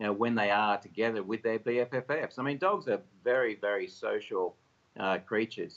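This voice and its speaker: With an Australian accent, a man talks at a fairly quick pace and a medium pitch. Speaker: company executive. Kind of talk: TV interview.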